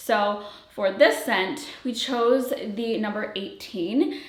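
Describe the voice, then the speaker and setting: A woman speaks at a very slow pace with ordinary pitch variation. Noticeable background noise and audible room echo are present. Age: 30s. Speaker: fragrance brand founder and reviewer. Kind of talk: product presentation to viewers. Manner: casual, filler-heavy.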